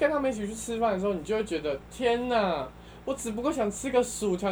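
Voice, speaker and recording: Speaking at a fairly quick pace, a woman uses an ordinary speaking voice at medium pitch with lively intonation. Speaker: returning podcast guest. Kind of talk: casual chat.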